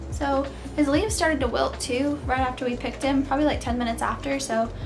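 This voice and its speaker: A woman talks very fast over noticeable background noise. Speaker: lifestyle vlogger. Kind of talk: casual vlog chat. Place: home room.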